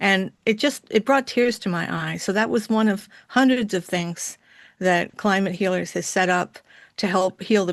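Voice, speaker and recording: Against a quiet background, a woman speaks in an unremarkable speaking voice at a moderate pace, with a medium pitch and ordinary pitch variation. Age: 60s. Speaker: conference attendee. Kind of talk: casual chat. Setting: video call.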